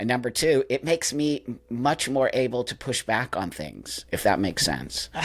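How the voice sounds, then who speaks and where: A man with an American accent speaks at a moderate pace and medium pitch, with ordinary pitch variation, vocal fry and hardly any pauses. The recording is very clean, with a silent background. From Southern California. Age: 60s. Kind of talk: interview. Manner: casual, animated.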